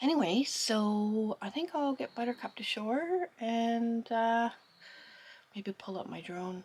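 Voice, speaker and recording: A woman talks at a fairly slow pace with lively intonation. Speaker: sailing vlogger. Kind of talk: casual vlog talk to camera. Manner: whispering.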